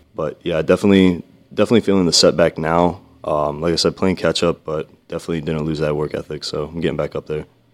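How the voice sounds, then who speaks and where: An American-accented man's very deep, low voice, very fast and monotone with flat intonation. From Vineland, New Jersey. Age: young. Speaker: naval academy student. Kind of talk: casual chat.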